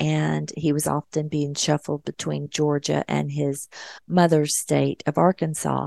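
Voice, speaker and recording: A woman at a fairly slow pace, in a dry, close sound with no echo, against a quiet background. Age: 50s. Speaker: radio host and nurse. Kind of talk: solo talk radio monologue.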